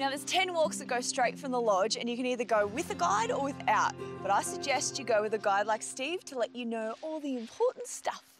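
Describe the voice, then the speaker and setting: A woman speaks at a fairly quick pace with hardly any pauses. The sound is dry with no echo, and music plays clearly in the background. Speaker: TV presenter. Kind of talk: presenter piece to camera. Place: forest. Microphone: lapel.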